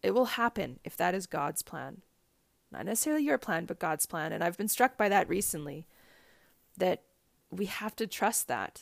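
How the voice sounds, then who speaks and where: A woman at medium pitch with vocal fry, lively intonation, a moderate pace and long, frequent pauses, on a very clean recording with a silent background. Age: 30s. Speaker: podcast host. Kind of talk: solo podcast monologue. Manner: laughs often while talking.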